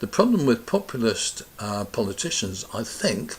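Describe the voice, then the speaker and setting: At a moderate pace, a man with a British accent speaks over noticeable background noise. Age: 70s. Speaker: pensioner vlogger. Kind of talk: casual opinion talk to camera. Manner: conversational, rambling.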